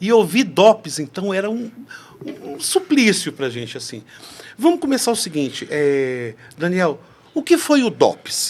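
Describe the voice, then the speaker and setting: The speech moves at a fairly slow pace with long, frequent pauses. Its pitch swings very widely. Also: man, high pitch for a man. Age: 60s. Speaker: podcast host. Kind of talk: interview conversation.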